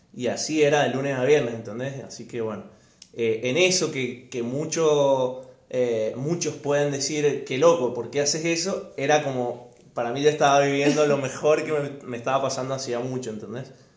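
Room echo is audible around a man's fairly high voice. He speaks at a moderate pace. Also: fairly even intonation. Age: 20s. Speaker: lawyer, former hockey player. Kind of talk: casual chat.

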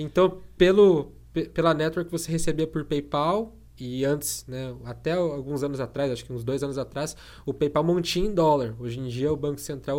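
Ordinary pitch variation and a moderate pace shape an unremarkable speaking voice. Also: man. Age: 20s. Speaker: tech youtuber. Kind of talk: interview.

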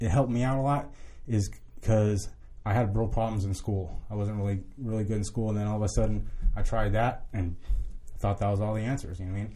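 A somewhat breathy man with an American accent talks at a fairly low pitch in a dark, mellow tone, with ordinary pitch variation. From Southern California. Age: 30s. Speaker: addiction recovery worker, former prisoner. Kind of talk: casual interview chat. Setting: studio. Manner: halting, many repeated words.

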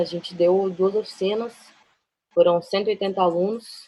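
A woman speaks in a medium pitch. Her tone is dark and mellow. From Brasília. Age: 20s. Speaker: photographer. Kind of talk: casual chat. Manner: halting.

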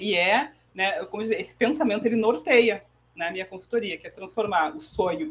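With lively intonation and a fairly high pitch, this woman has a plain, everyday voice. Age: 40s. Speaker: economist and financial educator. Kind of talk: interview.

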